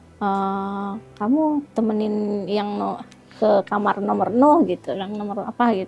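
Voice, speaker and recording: With music in the background, a woman talks fairly slowly at a medium pitch with ordinary pitch variation. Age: 40s. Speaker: interviewee telling life story. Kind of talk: interview testimony. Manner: halting.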